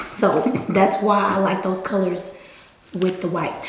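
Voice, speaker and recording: Noticeable background noise and audible room echo surround a woman with an American accent and an animated tone. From Texas, Houston area (Missouri City). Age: 20s. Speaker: college graduate, former cheerleader, YouTube guest. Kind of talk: casual chat during eating video.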